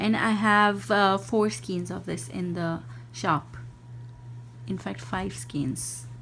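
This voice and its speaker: Audible room echo surrounds a woman speaking at a very slow pace with long, frequent pauses. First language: Hindi. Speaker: indie yarn dyer and craft video maker. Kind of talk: product showcase. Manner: halting, with fillers.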